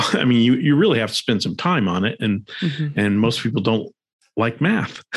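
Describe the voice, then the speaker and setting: A man with an American accent and an unremarkable speaking voice talks at a moderate pace. His pitch is medium, his intonation lively, and the background quiet. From Arizona, US. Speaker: personal finance podcast host. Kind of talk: interview conversation.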